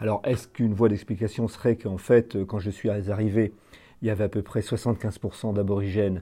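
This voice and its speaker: A somewhat breathy voice with a dark, mellow tone on a very clean recording with a silent background. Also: man. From northeastern France. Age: 60s. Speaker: village mayor. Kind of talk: interview testimony. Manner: hesitant, frequent fillers.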